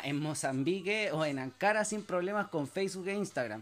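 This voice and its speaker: A man's voice sits high for a man, with ordinary pitch variation, and he keeps a moderate pace. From Chile. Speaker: podcast host, entrepreneur. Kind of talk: solo monologue, motivational talk. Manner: hesitant with fillers and restarts.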